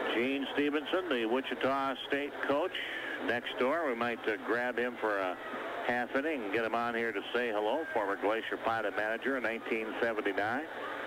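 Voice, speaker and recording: A man talks at an even middle speed, his loudness barely changing, with clear noise in the background. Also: medium pitch for a man, ordinary pitch variation. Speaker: baseball play-by-play announcer. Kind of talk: live baseball radio play-by-play.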